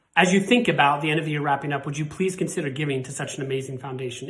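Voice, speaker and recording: Against noticeable background noise, a man with an American accent talks at a fairly high pitch with ordinary pitch variation. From Montana, US. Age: 40s. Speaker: cystic fibrosis patient. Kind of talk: personal testimony and appeal.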